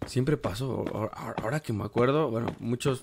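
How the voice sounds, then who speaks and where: The man talks at a fairly slow pace with fairly even intonation. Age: 20s. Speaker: gaming YouTuber. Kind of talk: gameplay commentary. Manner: casual, hesitant with fillers.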